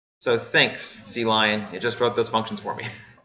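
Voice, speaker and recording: A man's voice with audible room echo. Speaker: university lecturer. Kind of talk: lecture.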